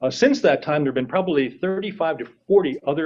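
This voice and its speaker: A man with an American accent and an unremarkable speaking voice talks at a fairly quick pace with lively intonation. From New York State (Schenectady). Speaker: public commenter, business owner. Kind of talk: public hearing comment.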